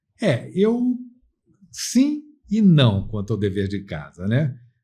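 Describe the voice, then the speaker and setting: The tone of this man's voice is dark and mellow. There is a somewhat breathy quality to it. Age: 60s. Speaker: lawyer. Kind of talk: interview.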